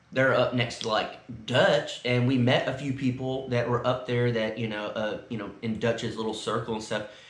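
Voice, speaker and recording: Over noticeable background noise and audible room echo, a man with an American accent speaks at medium pitch in monotone, flat intonation. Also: moderate pace. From South Texas. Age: 30s. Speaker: vlogger. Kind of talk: casual chat. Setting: indoors at a friend's house.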